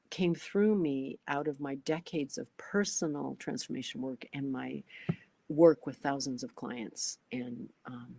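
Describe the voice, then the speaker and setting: A woman speaks fairly slowly in a very deep, low voice with a dark, mellow tone and ordinary pitch variation, dry and close with no echo. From Canada. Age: 60s. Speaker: astrologer and transformation coach. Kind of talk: sales pitch. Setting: online webinar.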